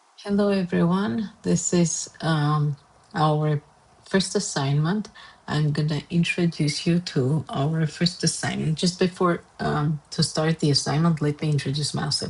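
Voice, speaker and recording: Speaking with an Armenian accent, a woman uses a very deep, low pitch with ordinary variation. Her pace is fairly slow and her loudness very even. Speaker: art and design teacher. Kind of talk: tutorial. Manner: hesitant, many fillers.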